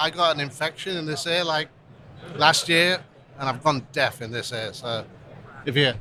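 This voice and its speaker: With an English accent, a man at a fairly high pitch speaks at a moderate pace with ordinary pitch variation and long, frequent pauses. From England. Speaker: restaurant brand executive. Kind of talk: casual interview. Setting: live event podcast booth.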